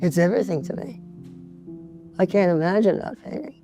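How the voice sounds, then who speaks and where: Music plays behind the speaker. A woman talks at a fairly low pitch. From New York (Bronx). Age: 80s+. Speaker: painter. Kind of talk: interview answer.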